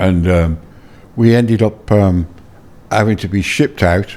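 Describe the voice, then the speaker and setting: A man's fairly low voice with a Birmingham accent, a dark, mellow tone and ordinary pitch variation. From England, Birmingham. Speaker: former tour manager. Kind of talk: interview. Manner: halting, many fillers and repeats.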